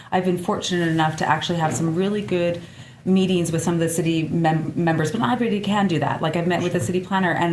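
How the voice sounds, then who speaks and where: A woman with a fairly low pitch talks at a very fast pace, with audible room echo and noticeable background noise. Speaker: community member in discussion. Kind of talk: casual discussion. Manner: loud; emotional and passionate.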